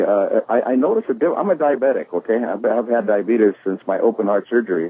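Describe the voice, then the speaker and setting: Noticeable background noise sits behind a man's voice. He talks at a fairly quick pace with medium pitch. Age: 70s. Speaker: network marketing distributor giving testimony. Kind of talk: testimony. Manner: halting, many fillers.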